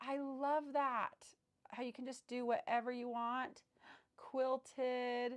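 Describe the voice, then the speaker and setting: This woman speaks with a high pitch. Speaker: sewing livestreamer. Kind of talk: casual livestream chat while sewing. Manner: animated.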